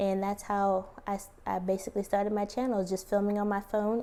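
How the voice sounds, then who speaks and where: Soft-spoken and fairly quick, a woman talks in a medium pitch with a dark, mellow tone. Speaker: plant YouTuber. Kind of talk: tutorial.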